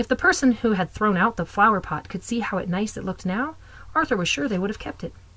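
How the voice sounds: The pitch varies in an ordinary way. It belongs to a natural reading voice.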